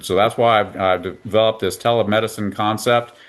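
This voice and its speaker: A man talks at a fairly quick pace in a medium pitch. It is an ordinary speaking voice. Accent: American. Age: 60s. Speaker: veterinarian. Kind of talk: interview.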